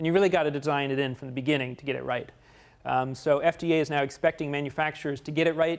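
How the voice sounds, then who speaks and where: On a very clean recording with a silent background, a man with an American accent talks at a very fast pace, his fairly high pitch showing ordinary variation. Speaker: guest lecturer on security. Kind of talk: lecture.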